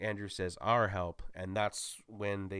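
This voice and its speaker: Recorded very cleanly against a silent background, a man speaks fairly slowly with a fairly low pitch. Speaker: YouTuber movie reviewer. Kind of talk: solo movie spoiler recap. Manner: animated; stumbling over words.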